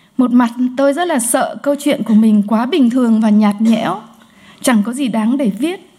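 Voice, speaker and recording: Pitched high, a woman's dark, mellow voice moves at a fairly slow pace with ordinary pitch variation. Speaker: sociologist. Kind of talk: conference talk. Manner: hesitant with fillers.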